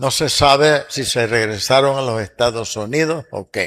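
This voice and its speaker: A man with a medium pitch delivers his words at a very slow pace. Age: 80s+. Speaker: pastor. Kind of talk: church history lecture. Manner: halting.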